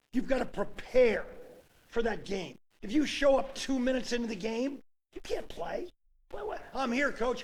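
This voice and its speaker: A man talks at a moderate pace and an extremely high pitch, with lively intonation. His tone is animated, and audible room echo surrounds him. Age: 70s. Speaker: sports coach. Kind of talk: casual chat.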